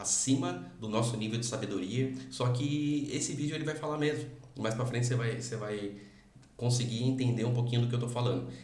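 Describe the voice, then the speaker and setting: With noticeable background noise and audible room echo, a man speaks fairly quickly at a medium pitch and with fairly even intonation. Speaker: motivational YouTuber reacting to video. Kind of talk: reaction commentary. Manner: fast; hesitant, many fillers.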